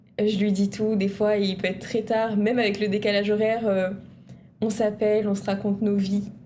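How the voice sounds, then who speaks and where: Audible room echo surrounds a woman speaking at a medium pitch and fairly slow pace, with a dark, mellow tone and monotone, flat intonation. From Réunion, Saint-André. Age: 20s. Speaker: university student. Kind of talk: TV interview.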